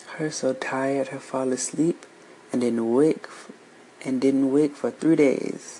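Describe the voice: Fairly even intonation in plain reading aloud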